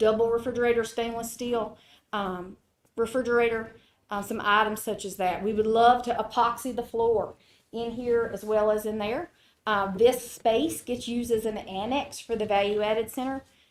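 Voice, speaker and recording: A woman speaks at a fairly high pitch with fairly even intonation. The recording is very clean, with a silent background. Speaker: agricultural center presenter. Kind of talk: funding presentation to county board. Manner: fast.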